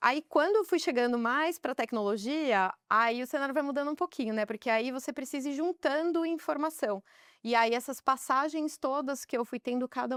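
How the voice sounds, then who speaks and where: A woman at a moderate pace with lively intonation, dry and close with no echo, on a very clean recording with a silent background. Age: 30s. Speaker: business executive. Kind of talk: podcast interview.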